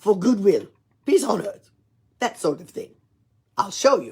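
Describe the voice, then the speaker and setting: A woman puts on a gruff character voice at a fairly high pitch. Her pitch swings very widely as she talks at a moderate pace. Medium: read story. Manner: hearty, chuckling.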